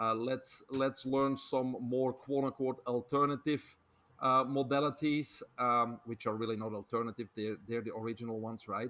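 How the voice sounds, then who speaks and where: Medium-pitched male speech, flat and monotone in intonation. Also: moderate pace. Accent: Belgian. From Belgium. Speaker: health author and speaker. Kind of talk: podcast interview.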